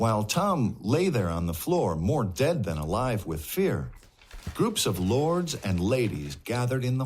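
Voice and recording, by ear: A natural voice reading aloud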